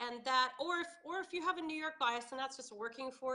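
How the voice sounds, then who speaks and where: Raising and projecting her voice, a woman with an American accent speaks at a moderate pace in a high pitch with a bright, sharp tone. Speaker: accent coach. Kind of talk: casual interview.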